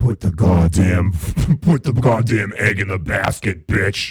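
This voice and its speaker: This voice belongs to a man doing a put-on character. The delivery is fairly slow. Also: fairly low pitch for a man. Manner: silly, condescending.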